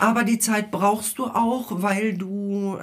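Speaking at a very slow pace, a woman has a medium pitch. The recording is very clean, with a silent background. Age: 50s. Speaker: science teacher, teachers' council member. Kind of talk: casual interview. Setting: studio with headphones.

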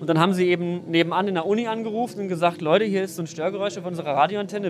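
A man speaks very fast with hardly any pauses, his high-pitched voice fairly even in intonation over noticeable background noise. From western Germany, NRW near Düsseldorf (Mettmann). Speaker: science journalist and content creator. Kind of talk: casual explanatory interview. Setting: outdoors at an S-Bahn station and on a train.

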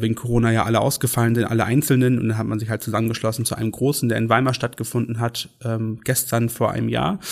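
Speaking at a very fast pace in a flat monotone, a man with a medium pitch is heard on a very clean recording with a silent background. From Schleswig-Holstein, northern Germany. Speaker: pride event organizer. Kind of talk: casual interview.

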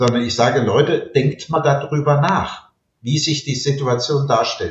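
A man's somewhat breathy voice at a medium pitch, moderate pace and ordinary pitch variation. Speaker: retired law professor. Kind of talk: interview.

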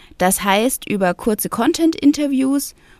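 Pitch swings very widely as a woman speaks at a very slow pace. The sound is dry and close, with no echo. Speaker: podcast co-host, agency founder. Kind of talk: casual interview. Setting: remote recording.

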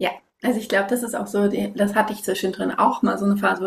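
This woman's pitch sits fairly high. She talks very fast. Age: 30s. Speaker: parenting and sleep coach. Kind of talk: interview. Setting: video call.

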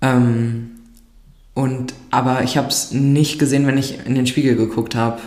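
A woman with a very deep, low pitch talks at a moderate pace in a monotone, flat delivery with very even loudness, amid noticeable background noise and audible room echo. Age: 20s. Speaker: nurse. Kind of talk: casual chat.

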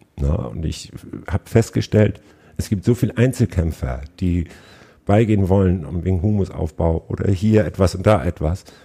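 A man speaks at a moderate pace with a very deep, low pitch and a dark, mellow tone. His intonation is lively, and his voice carries vocal fry. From northern Germany, Schleswig-Holstein. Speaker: agricultural business manager. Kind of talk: interview. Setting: in person, on location.

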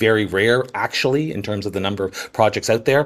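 Speaking with a Canadian accent, a man talks at a fairly quick pace in a fairly low pitch with ordinary pitch variation. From Canada. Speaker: entertainment journalist. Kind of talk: interview. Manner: halting, many fillers.

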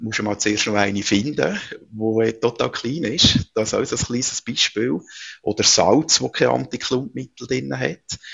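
The pace is fairly slow and the pitch swings very widely. Vocal fry runs through the voice. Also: man, medium pitch for a man. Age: 40s. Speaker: entrepreneur. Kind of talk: interview.

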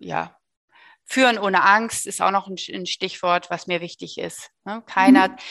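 The pace of this woman's speech is moderate. Behind her, the background stays quiet. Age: 50s. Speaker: business owner. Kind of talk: interview. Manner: hesitant with filler sounds.

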